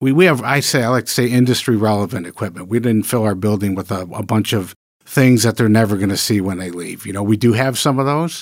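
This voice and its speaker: In a very clean recording with a silent background, a man with a Midwestern US accent speaks at a fairly low pitch with ordinary pitch variation. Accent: US Midwest. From Michigan. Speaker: culinary school dean. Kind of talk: interview. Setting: studio.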